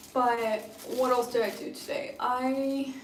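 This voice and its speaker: A woman with a high pitch is heard amid audible room echo. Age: 20s. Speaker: beauty and lifestyle vlogger. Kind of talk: casual livestream chat. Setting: live stream at home.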